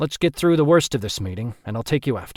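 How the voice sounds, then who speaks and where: A man puts on a gruff, growling character voice at a medium pitch, racing at a very fast pace with lively intonation and big swings in loudness, the sound dry and close with no echo on a very clean recording with a silent background. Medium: read story.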